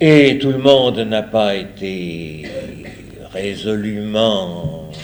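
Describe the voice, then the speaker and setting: A man's fairly low voice with ordinary pitch variation, audible room echo and noticeable background noise. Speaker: priest lecturer. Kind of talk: lecture. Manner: hesitant.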